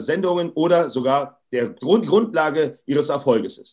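This man speaks with ordinary pitch variation. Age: 40s. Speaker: anti-bullying activist. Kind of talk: interview. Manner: emphatic.

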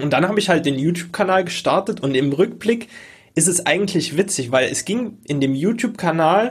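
On a very clean recording with a silent background, the voice keeps a moderate pace and ordinary pitch variation. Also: man. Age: 20s. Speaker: online course entrepreneur and podcast host. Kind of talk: casual interview chat.

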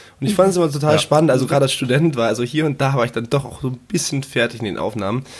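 Speaking very fast with hardly any pauses, a man with a fairly high pitch sounds somewhat breathy and uses ordinary pitch variation. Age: 20s. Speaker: freelancer, project manager, podcaster. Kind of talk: casual interview chat.

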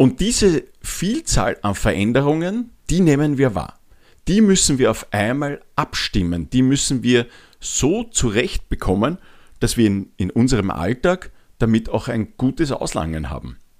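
The voice moves at a fairly slow pace while the pitch swings very widely. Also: man, medium pitch for a man. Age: 40s. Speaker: podcast host, change and habits coach. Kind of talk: solo podcast monologue. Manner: frequent filler hesitations.

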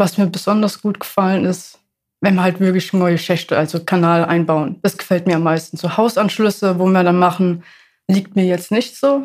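Speaking at a moderate pace in a plain, everyday voice, a woman with medium pitch keeps fairly even intonation and very even loudness on a very clean recording with a silent background. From Ludwigshafen, Germany. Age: 20s. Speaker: apprentice sewer construction worker. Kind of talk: casual interview.

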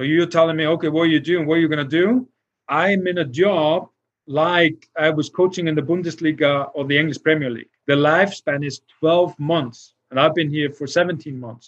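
Here a man speaks in an Icelandic accent with a fairly high pitch. His pace is moderate and his intonation fairly even. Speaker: football technical director. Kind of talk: interview. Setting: livestream video call.

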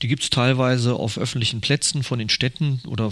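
This man has a plain, everyday voice. His pitch is medium and his intonation fairly even. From Ruhr area, Germany. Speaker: wine merchant. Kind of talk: interview. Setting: at his wine shop.

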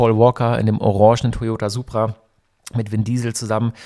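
A man's voice at medium pitch, fairly quick in pace, with a dark, mellow tone. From Germany, Hockenheim (Baden). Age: 40s. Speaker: radio host and event organizer. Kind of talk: solo podcast monologue. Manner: casual, nostalgic storytelling.

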